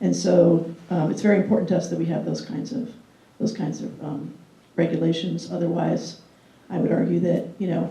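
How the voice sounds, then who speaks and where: A woman speaks at a moderate pace amid audible room echo. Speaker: city government food policy official. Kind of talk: guest lecture. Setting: classroom with live audience. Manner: conversational, with frequent fillers.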